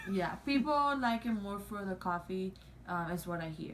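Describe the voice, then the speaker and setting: The speaker is a woman with a non-native accent. She keeps to a moderate speed. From Cuba or Mexico. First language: not English. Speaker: YouTuber. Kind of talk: casual chat. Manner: halting, many fillers.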